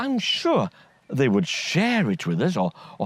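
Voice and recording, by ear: Someone reads a text aloud. Their voice sounds natural.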